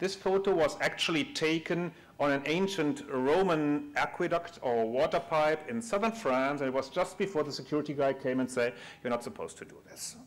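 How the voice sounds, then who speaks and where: A man with a German accent and fairly high pitch, at a moderate pace with ordinary pitch variation. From Germany. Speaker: conference speaker, big data engineer at a bank. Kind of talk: conference talk. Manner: halting, many fillers.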